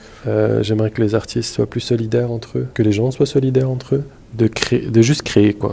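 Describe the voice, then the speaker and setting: At a moderate pace, a man with a medium-pitched voice speaks with fairly even intonation. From Montreal, Quebec (born in Morocco, moved at 5-6). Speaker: photographer. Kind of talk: interview testimony. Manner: halting, repeats words.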